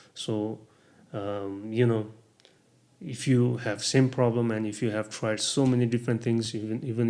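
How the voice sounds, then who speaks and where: With a Nepali accent, a man speaks at a medium pitch using fairly even intonation. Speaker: vlogger sharing health experience. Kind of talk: casual vlog talk. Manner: halting, many fillers.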